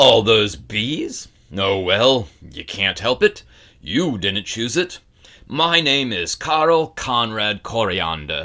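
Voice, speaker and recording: Doing a put-on character voice, a man speaks very slowly at a medium pitch, gruff and rumbling, with very wide pitch swings. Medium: read story. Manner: grumbling, blunt.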